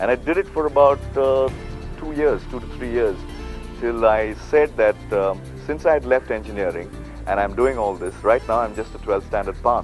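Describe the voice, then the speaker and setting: Moderate-paced male speech over background music. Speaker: radio jockey and voice-over artist. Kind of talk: interview answer. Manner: casual, hesitant.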